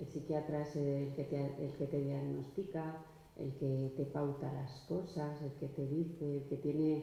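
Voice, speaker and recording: The speaker is soft-spoken and goes at a fairly slow pace against noticeable background noise. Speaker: panelist at a round table. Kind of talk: panel discussion.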